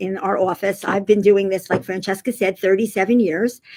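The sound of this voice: Her tone slightly mellow, a woman speaks at a medium pitch with ordinary pitch variation.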